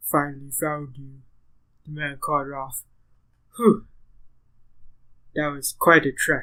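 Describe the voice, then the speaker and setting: A put-on character voice sits at a low-to-middle pitch. It moves at a fairly slow pace with long, frequent pauses. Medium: actual play. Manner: earnest, reassuring.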